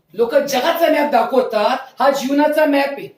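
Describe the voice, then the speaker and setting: A man speaks with ordinary pitch variation. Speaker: pastor / preacher. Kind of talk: sermon preached to a congregation.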